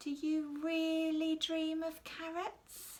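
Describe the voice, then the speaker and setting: A put-on character voice at an extremely high pitch. It drags along at a very slow pace. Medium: read story.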